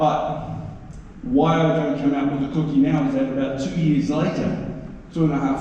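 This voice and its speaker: A man with a New Zealand accent speaks at a moderate pace in a fairly high pitch. Noticeable background noise and audible room echo fill the recording. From New Zealand, East Coast (Māori). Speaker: actor. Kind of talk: convention Q&A storytelling. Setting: stage with audience. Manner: animated.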